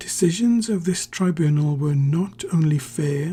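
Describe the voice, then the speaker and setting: Soft-spoken and fairly high in pitch, a man talks at a fairly slow pace with music in the background. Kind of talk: ASMR story reading. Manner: soft-spoken, slow.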